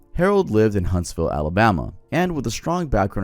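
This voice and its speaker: On a very clean recording with a silent background, a man with a fairly low pitch talks at a very fast pace with very wide pitch swings. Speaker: YouTuber. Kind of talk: scripted narration. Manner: casual.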